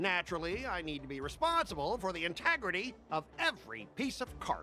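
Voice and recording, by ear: With faint music in the background, a man does a put-on character voice, high-pitched with a bright, sharp tone, very wide pitch swings and a fairly quick pace.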